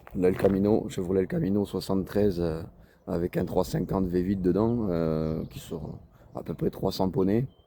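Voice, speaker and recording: A man with a very deep, low voice and a dark, mellow tone talks at a moderate pace with ordinary pitch variation. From southern France, Toulouse area. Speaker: car enthusiast vlogger. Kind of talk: casual vlog. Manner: hesitant, many fillers.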